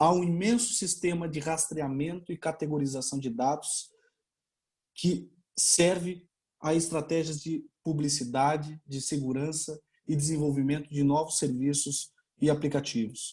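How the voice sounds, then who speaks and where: Fairly slow, somewhat breathy speech from a man with a dark, mellow tone, fairly high pitch and ordinary pitch variation. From Brazil. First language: Portuguese (speaking Spanish). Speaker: law researcher, doctoral candidate. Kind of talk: conference talk. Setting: online webinar.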